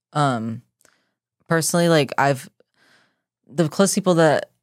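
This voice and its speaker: A woman speaks at a fairly slow pace with ordinary pitch variation. The recording is very clean, with a silent background. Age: 20s. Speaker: fitness coach and podcast co-host. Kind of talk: casual chat. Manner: excitable.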